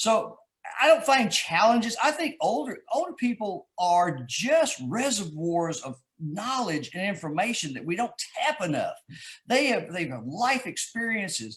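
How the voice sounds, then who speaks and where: In a Texas accent, a man with a high pitch talks at a fairly slow pace, his voice swinging very widely in pitch. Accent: Texas drawl. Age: 60s. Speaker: author. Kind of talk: interview. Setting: live video stream.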